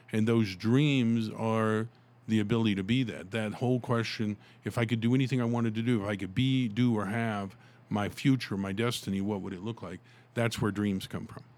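This man has an unremarkable speaking voice, pitched in the medium range, with fairly even intonation and a fairly quick pace. The recording is very clean, with a silent background. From US South, Tulsa, Oklahoma. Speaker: author and motivational speaker. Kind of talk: interview.

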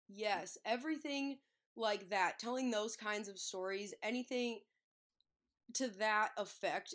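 A woman speaks at a fairly slow pace in a plain, everyday voice. Her pitch sits in the middle range and varies in an ordinary way. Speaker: sports media personality. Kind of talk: casual interview.

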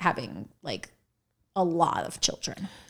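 A woman's fairly low-pitched voice with a bright, sharp tone and vocal fry, at a fairly slow pace and with fairly even intonation. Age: 30s. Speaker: podcast co-host. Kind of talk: casual chat.

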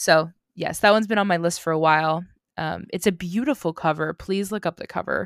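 Captured in a very clean recording with a silent background and a dry, close sound with no echo, a woman speaks at a fairly quick pace in an unremarkable speaking voice, pitched fairly low with ordinary pitch variation. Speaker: podcast host. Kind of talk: casual chat.

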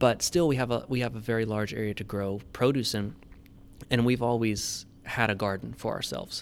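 With an American accent and a plain, everyday voice, a man of medium pitch speaks at a moderate pace with fairly even intonation. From Tennessee, US South. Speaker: farm manager and agriculture teacher. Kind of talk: podcast interview.

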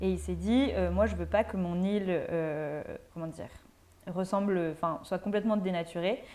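At a rather slow pace, a woman talks in a dark, mellow tone. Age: 20s. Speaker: law student. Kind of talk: casual chat.

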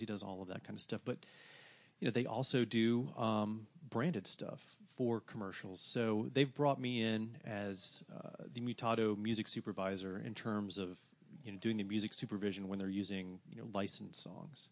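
A man's ordinary speaking voice, fairly low in pitch, at a moderate pace with ordinary pitch variation and big swings in loudness. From US South, Atlanta, Georgia. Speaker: music blogger and record label owner. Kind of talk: casual interview.

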